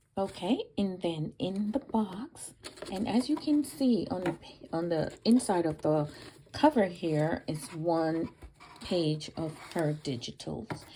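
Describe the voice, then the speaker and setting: Amid noticeable background noise, a woman with a fairly low pitch speaks very slowly, her pitch swinging very widely. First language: Spanish. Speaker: crafter and video creator. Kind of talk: unboxing video. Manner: hesitant, many fillers.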